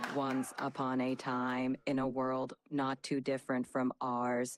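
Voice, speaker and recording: Here is a robotic, put-on character voice at a low-to-middle pitch. It is monotone and flat, at a fairly slow pace. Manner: dramatic.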